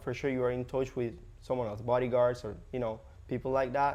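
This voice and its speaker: His pace stays moderate. The man speaks with a Spanish accent. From Cuba. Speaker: real estate agent, former hotel host. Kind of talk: podcast interview. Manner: halting, many fillers.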